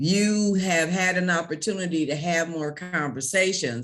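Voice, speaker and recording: A woman talks at a fairly slow pace. Her pitch is fairly low. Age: 70s. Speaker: bank founder. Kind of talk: panel discussion. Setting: panel with audience.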